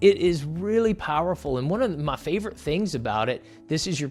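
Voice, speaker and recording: Music plays in the background as a man speaks with lively intonation at a fairly high pitch. His tone is energetic and enthusiastic. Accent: Southern US. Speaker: YouTuber, entrepreneur coach. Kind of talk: tutorial. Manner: energetic, enthusiastic.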